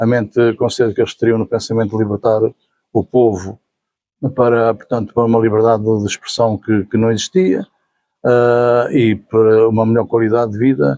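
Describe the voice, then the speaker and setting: In a dry, close recording with no echo, a man speaks at a moderate pace with a medium pitch, a dark, mellow tone, fairly even intonation and very even loudness. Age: 70s. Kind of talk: interview answer. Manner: hesitant, repetitive.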